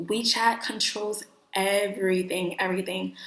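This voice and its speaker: Speaking at a fairly slow pace with an American accent, a woman at medium pitch sounds animated, and audible room echo surrounds her voice. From New York. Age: 20s. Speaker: vlogger. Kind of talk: casual vlog talk.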